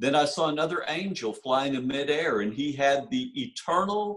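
A man speaks fairly slowly, and the background is quiet. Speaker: minister. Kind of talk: sermon. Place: home room. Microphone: webcam.

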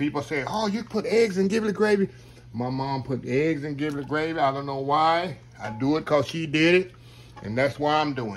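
A man with lively intonation talks at a moderate pace while light background noise plays. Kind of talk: casual cooking tutorial chat. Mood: warm, nostalgic about his mother. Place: kitchen. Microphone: phone near.

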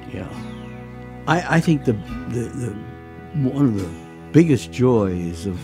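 Over clear music in the background, a man speaks at a fairly slow pace with very wide pitch swings. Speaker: guitar maker. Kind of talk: documentary interview answer. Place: workshop.

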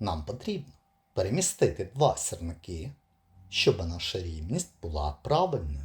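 A man's very deep, low voice, somewhat breathy, at a fairly slow pace with very wide pitch swings. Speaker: puzzle video presenter. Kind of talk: tutorial.

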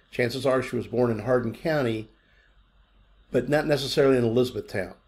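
This man speaks at a moderate pace, somewhat breathy, with ordinary pitch variation. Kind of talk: tutorial. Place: home room. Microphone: webcam.

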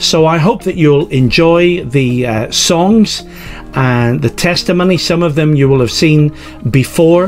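Faint music plays in the background as a man talks at a fairly slow pace, with very even loudness and ordinary pitch variation. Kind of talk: church service introduction. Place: home room. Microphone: webcam.

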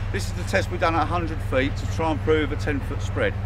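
Noticeable background noise behind a man's fairly quick delivery. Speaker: airsoft shop owner. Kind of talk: product demonstration. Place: forest.

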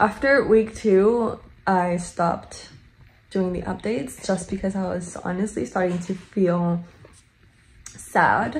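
A woman's somewhat breathy voice at medium pitch, ordinary pitch variation, a very slow pace and long, frequent pauses. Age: 20s. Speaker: vlogger. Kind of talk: casual vlog talk to camera. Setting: vlogging on the go, partly in a car and parking lot.

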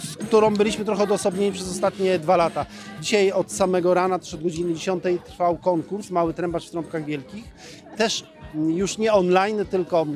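Over clear music in the background, a man with a high pitch talks at a fairly quick pace and with fairly even intonation, the sound dry with no echo. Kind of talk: interview answer. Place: street. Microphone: handheld.

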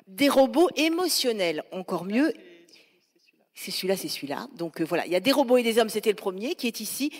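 A woman's fairly high voice with very wide pitch swings at a fairly quick pace. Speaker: radio journalist and moderator. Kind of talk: panel moderation. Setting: stage with audience.

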